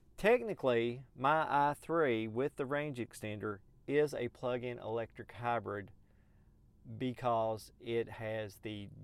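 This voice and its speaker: A man with a Southern US accent, very slow pace, medium pitch and ordinary pitch variation. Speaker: podcast host. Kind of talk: solo podcast monologue. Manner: casual, conversational with fillers.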